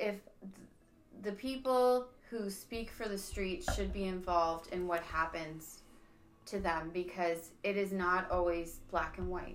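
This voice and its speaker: A woman with a medium pitch speaks at a fairly slow pace in an unremarkable speaking voice. Her pitch varies in an ordinary way. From Niagara, Ontario, Canada. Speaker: podcast host. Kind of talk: casual chat.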